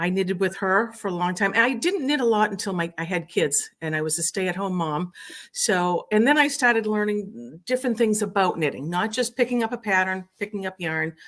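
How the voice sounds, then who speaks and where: With a Massachusetts accent, a woman speaks at a fairly quick pace and medium pitch, barely pausing, with lively intonation on a very clean recording with a silent background. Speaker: knitting instructor. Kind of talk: interview.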